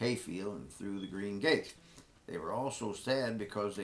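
Ordinary pitch variation shapes a natural reading voice.

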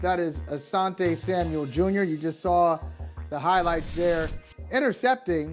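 The speech moves at a fairly slow pace over faint music in the background. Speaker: sports show co-host. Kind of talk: interview intro, casual banter. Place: home room. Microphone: video call.

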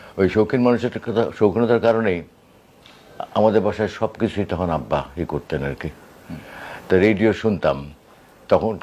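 Here a man talks at a fairly low pitch with ordinary pitch variation. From Bangladesh, Khulna. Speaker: voice artist and broadcaster. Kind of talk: interview.

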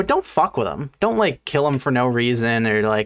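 A man talks at a fairly slow pace with ordinary pitch variation over a quiet background. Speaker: fish biologist streamer. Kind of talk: reaction commentary. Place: home room. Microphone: studio mic.

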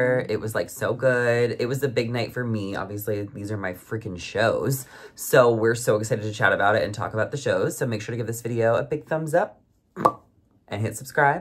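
At a very fast pace, a somewhat breathy man speaks with ordinary pitch variation. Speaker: YouTube reality TV recapper. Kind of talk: casual chat. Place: home room. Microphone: phone near.

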